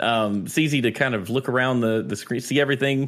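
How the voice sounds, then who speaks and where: A man with an American accent has an unremarkable speaking voice at a medium pitch. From North Carolina. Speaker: Twitch streamer. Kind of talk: casual chat.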